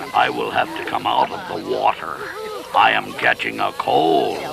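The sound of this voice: A man performs a cartoonish character voice at a moderate pace. Clear background noise can be heard.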